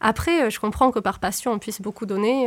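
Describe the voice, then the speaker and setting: Her medium-pitched voice shows vocal fry as the woman speaks at a moderate pace with ordinary pitch variation. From southern France. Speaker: former neuroscience researcher. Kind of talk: interview. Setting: studio.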